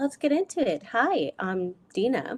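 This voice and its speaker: With an American accent, the speaker's pitch swings very widely in a dry, close sound with no echo. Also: woman. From Germany. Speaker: business coach. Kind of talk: live video talk. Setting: live video stream.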